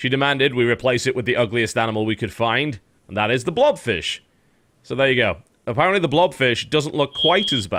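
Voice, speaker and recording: A man with a British accent speaks with lively intonation and vocal fry. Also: medium pitch for a man, fairly quick pace. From Britain. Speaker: podcast host. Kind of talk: casual chat. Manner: animated.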